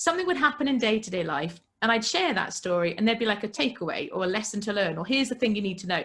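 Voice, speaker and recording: A loud woman speaks with a British accent in an animated tone. Her fairly high pitch moves in very wide swings. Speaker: entrepreneur and podcast guest. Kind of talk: casual interview.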